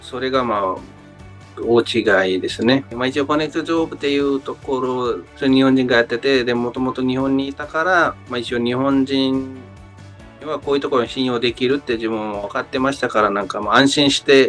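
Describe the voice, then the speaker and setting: Music plays in the background as a man talks at a moderate pace, his medium-pitched voice showing ordinary pitch variation. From Nepal. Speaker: worker in Japan, job-agency client. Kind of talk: interview answer. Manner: hesitant, many fillers.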